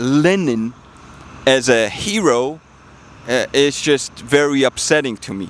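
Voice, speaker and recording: A man speaks with a Georgian accent. His pitch is fairly high and his pace very slow. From Georgia (country). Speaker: political commentator, vlogger. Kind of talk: personal testimony monologue. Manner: halting, many fillers.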